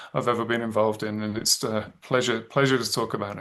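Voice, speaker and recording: A man with an English accent, bright and sharp in tone, fairly quick in pace, monotone and flat in intonation. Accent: English accent, noticeable. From England, Birmingham. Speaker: thriller author. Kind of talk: interview. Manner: halting, many fillers and restarts.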